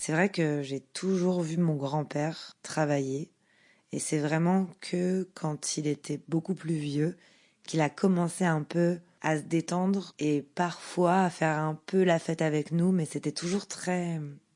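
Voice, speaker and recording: A woman's fairly low voice with a dark, mellow tone, monotone, flat intonation and a very slow pace, against a quiet background. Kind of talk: podcast narration.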